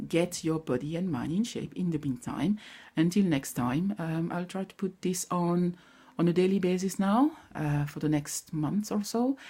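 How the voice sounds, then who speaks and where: A woman with a French accent speaks at a moderate pace in a fairly low, somewhat breathy voice that is dark and mellow in tone, with lively intonation. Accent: non-native English, French. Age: 40s. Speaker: vlogger sharing personal grief recovery. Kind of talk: personal vlog, motivational talk. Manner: halting.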